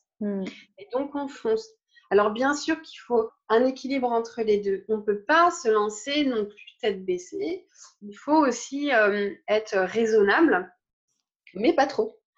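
A woman speaks very slowly at a fairly high pitch, with lively intonation and big swings in loudness. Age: 30s. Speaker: spiritual teacher. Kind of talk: interview.

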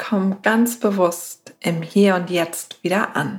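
In a calm, soothing tone, a woman speaks very slowly with monotone, flat intonation. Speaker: meditation guide. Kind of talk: guided meditation. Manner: slow, soft, calm and soothing with long pauses; gentle, warm, unhurried.

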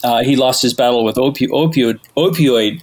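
This man's voice sits at a medium pitch, with fairly even intonation. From Canada, Toronto. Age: 40s. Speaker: podcast guest, music enthusiast. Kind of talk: casual chat.

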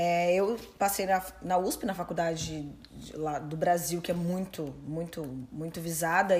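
A woman's somewhat breathy voice, fairly low in pitch. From Brazil. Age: 30s. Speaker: personal trainer and coach. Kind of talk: interview.

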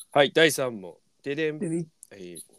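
Here a man speaks with a Miyagi accent at a moderate pace. The sound is dry and close, with no echo. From rural Miyagi, Japan. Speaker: podcast host and band guitarist. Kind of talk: casual chat. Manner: animated.

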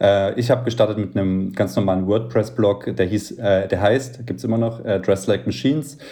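Speaking at a moderate pace with hardly any pauses, a man with a fairly low pitch and a dark, mellow tone uses ordinary pitch variation. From Thuringia, Germany. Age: 30s. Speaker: blogger and influencer. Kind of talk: casual chat. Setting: at home, remote call.

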